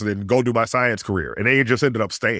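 A man's animated voice, bright and sharp in tone, medium-pitched with ordinary pitch variation, on a very clean recording with a silent background. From US South. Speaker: astrophysicist. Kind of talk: interview.

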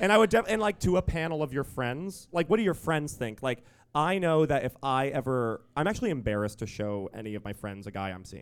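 On a very clean recording with a silent background, a man with a fairly high pitch talks at a fairly quick pace in an animated tone, his pitch swinging very widely and hardly any pauses breaking his speech. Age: 20s. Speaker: podcast co-host. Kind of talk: live comedy podcast. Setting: stage with audience.

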